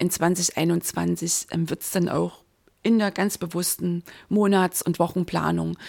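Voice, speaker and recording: On a very clean recording with a silent background and a dry, close sound with no echo, a woman speaks at a very slow pace with ordinary pitch variation. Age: 50s. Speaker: mindset and business coach, podcaster. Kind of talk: solo podcast monologue, year in review. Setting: home, recording alone with coffee. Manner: animated, enthusiastic.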